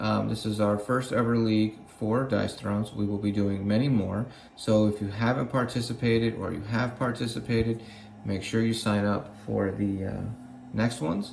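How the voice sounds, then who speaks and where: Speech at a moderate pace with fairly even intonation comes through audible room echo and noticeable background noise. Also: man, fairly low pitch for a man. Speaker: gaming channel team member. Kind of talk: promotional video message.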